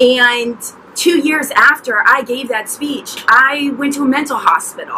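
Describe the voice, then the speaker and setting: A woman's voice comes through with light background noise. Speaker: mental health vlogger. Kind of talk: personal story vlog. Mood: earnest, emotional. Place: garden.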